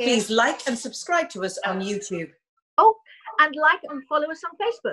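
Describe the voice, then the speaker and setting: Speaking at a fairly slow pace, a woman makes very wide pitch swings. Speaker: talk show co-host. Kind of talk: casual chat show banter. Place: home room. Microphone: video call.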